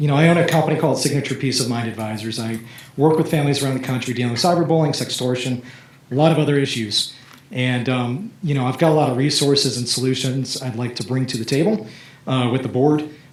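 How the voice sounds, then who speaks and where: A man talks at a very fast pace in a medium pitch with ordinary pitch variation. The recording has noticeable background noise and audible room echo. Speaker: parent speaking at public comment. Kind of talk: public comment at school board meeting. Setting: school board meeting. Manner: halting, many fillers.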